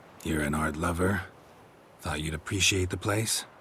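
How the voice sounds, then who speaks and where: A man puts on a raspy character voice pitched very deep and low, with clear background noise behind him. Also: moderate pace. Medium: video game. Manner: terse, deadpan.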